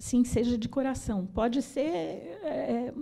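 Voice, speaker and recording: A woman with a fairly high pitch and a dark, mellow tone, captured in a very clean recording with a silent background. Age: 60s. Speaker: pianist, composer and arranger. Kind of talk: panel debate.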